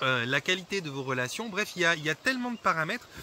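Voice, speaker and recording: A man with a fairly high pitch talks at a fairly quick pace, his pitch swinging very widely. Noticeable background noise runs underneath. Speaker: holistic therapist. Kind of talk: vlog monologue. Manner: fast; hesitant, many fillers.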